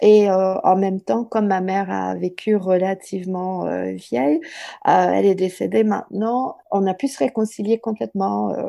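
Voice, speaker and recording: Her tone dark and mellow, a woman speaks at a moderate pace with lively intonation. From southern Ontario, Canada. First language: English (speaking French). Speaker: writer and literature professor. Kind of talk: interview.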